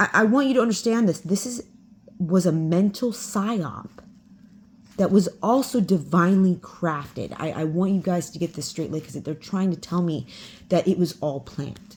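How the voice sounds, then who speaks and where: A woman's somewhat breathy, medium-pitched voice with lively intonation. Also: moderate pace. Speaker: spiritual channeler. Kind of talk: casual monologue.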